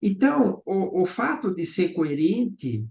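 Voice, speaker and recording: A man's high-pitched voice at a very slow pace, with very wide swings in pitch. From Brazil. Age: 70s. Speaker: business owner. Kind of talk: interview. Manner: halting, with repetitions.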